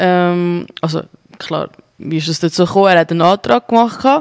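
A woman speaks with a Zurich accent, her voice dry and close with no echo. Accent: Zurich Swiss German. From Zurich, Switzerland. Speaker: radio host. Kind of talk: casual interview. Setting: studio.

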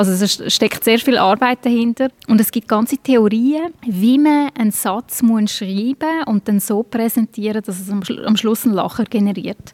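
Recorded dry and close with no echo, a normal speaking voice moves at a fairly slow pace with ordinary pitch variation. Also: woman, fairly high pitch for a woman. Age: 40s. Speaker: stand-up comedian. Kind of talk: interview.

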